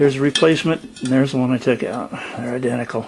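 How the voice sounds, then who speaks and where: A man's voice sits mid-range in pitch, with clear background noise behind it. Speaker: DIY mechanic. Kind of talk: tutorial. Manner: casual, thinking aloud.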